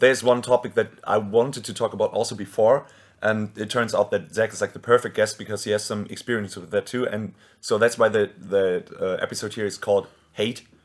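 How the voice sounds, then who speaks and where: A man's medium-pitched voice at a fairly quick pace, with fairly even intonation, in a very clean recording with a silent background. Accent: German. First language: German. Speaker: podcast host and band singer. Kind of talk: casual chat.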